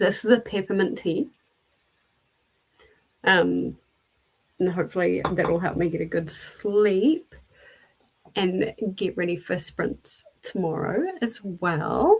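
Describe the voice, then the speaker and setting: A woman's soft-spoken, raspy put-on character voice, medium in pitch, at a fairly slow pace with long, frequent pauses. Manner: quiet, soft-spoken.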